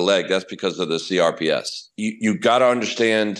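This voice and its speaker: In an American accent and an ordinary speaking voice, a man of medium pitch talks at a moderate pace with ordinary pitch variation against a quiet background. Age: 60s. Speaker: professional golfer. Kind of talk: interview answer.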